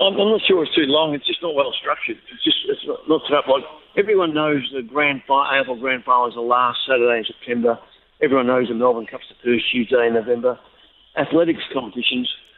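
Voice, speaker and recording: Here a man talks in an Australian accent with a fairly high pitch. His pace is fairly quick and his pitch varies in an ordinary way. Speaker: athletics coach. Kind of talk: interview.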